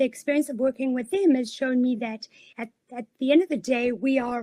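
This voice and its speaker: In a South African accent, a woman speaks at a high pitch with ordinary pitch variation, the sound dry and close with no echo. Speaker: career coach. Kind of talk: webinar presentation.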